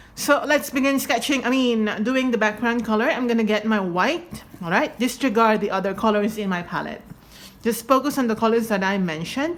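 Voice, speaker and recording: Against noticeable background noise, a woman speaks at a fairly quick pace and a fairly high pitch with ordinary pitch variation. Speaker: painting tutorial creator. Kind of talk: tutorial. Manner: casual, chatty.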